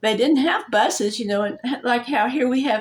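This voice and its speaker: A woman with an American accent speaks at a moderate pace in a fairly high pitch. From Oklahoma. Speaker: vlogger. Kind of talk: personal storytelling vlog. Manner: halting.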